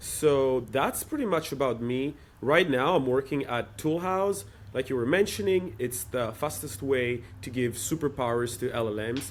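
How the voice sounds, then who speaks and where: Lively intonation from a man at medium pitch, on a very clean recording with a silent background. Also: moderate pace. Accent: European. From Europe. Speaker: startup operator in developer tooling. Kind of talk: interview.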